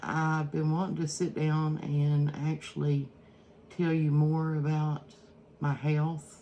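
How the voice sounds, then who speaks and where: A woman speaks in an Eastern Kentucky accent with a very deep, low pitch. Her tone is dark and mellow, and her pace is very slow. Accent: Eastern Kentucky Appalachian. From Eastern Kentucky, Prestonsburg. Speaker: cooking vlogger. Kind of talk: casual cooking vlog talk. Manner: halting, many fillers.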